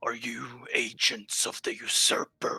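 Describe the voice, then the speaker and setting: A man's put-on character voice, guttural and raspy, with a menacing tone at a fairly slow pace. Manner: menacing, demanding.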